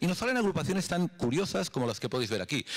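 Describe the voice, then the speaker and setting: Against a quiet background, a man talks at a very fast pace. His pitch makes very wide swings. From Europe. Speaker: health startup executive; conference speaker. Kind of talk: conference presentation. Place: hall. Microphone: handheld.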